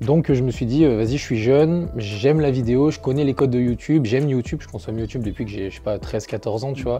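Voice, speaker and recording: A man talking at a very fast pace with ordinary pitch variation, music in the background. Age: 20s. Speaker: YouTuber, former gendarme. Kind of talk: interview. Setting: indoor airsoft venue. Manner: halting, many fillers.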